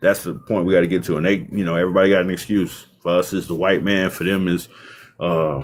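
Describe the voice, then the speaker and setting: Here a man with a very deep, low pitch talks at a very fast pace. The recording is very clean, with a silent background. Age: 30s. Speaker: live streamer. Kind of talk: casual debate on livestream. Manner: animated.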